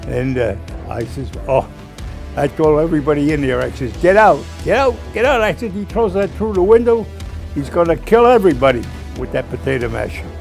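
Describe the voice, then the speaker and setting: Backed by music, a man talks rather quickly. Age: 80s+. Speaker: war veteran. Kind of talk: interview answer.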